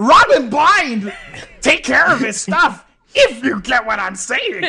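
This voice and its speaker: A cartoonish character voice, high-pitched and at a fairly slow pace. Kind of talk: comic overacting. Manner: loud, brash, enthusiastic.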